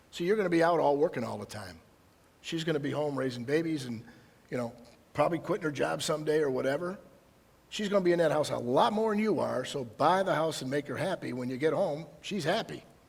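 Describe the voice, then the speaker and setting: Speaking very fast in a fairly high voice, a man with an Upper Midwest accent sounds animated, his intonation lively. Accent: Upper Midwest American. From Michigan, Detroit area. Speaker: county prosecutor. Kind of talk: public presentation. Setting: presentation to audience.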